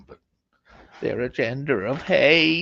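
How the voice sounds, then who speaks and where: In a put-on character voice, a man speaks raspy and hissing at a fairly high pitch. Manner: creepy.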